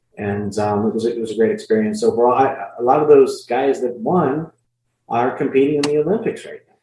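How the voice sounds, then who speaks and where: At a fairly quick pace, a man with a medium pitch and a dark, mellow tone sounds somewhat breathy, his voice making very wide pitch swings and big swings in loudness. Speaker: ring announcer. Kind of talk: interview answer.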